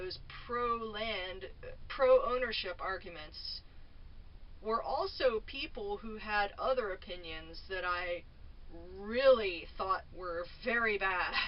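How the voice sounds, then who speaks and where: A woman's loud, fairly high-pitched voice at a very slow pace, with ordinary pitch variation. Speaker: vlogger. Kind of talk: casual monologue. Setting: at home in a trailer. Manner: halting. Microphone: camera mic, no microphone.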